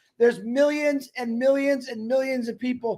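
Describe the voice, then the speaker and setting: A loud man's voice, extremely high in pitch, at a moderate pace. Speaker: network marketing member. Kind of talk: motivational speech. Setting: webinar. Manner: animated.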